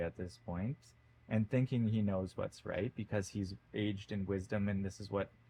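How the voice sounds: The natural reading voice keeps its intonation fairly even.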